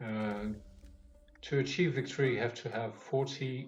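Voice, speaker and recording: At a fairly slow pace, a man talks with a French accent and ordinary pitch variation. Noticeable background noise and audible room echo come through. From France. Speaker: speedrunner. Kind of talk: gameplay commentary. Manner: halting, many fillers.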